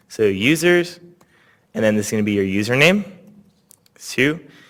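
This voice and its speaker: A man with a non-native accent speaks at a medium pitch with lively intonation. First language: not English. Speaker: workshop instructor. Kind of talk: tutorial.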